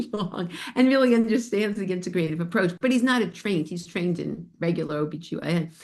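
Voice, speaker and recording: A woman uses an ordinary speaking voice with an American accent. Her pace is fairly quick, with ordinary pitch variation. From New York, Spring Valley area. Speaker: bone health educator and podcast host. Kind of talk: casual chat with live webinar audience.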